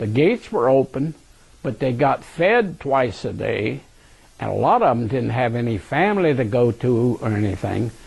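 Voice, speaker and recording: An ordinary speaking voice from a man, medium in pitch, with lively intonation. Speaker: war veteran. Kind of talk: oral history interview recollection. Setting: recorded interview.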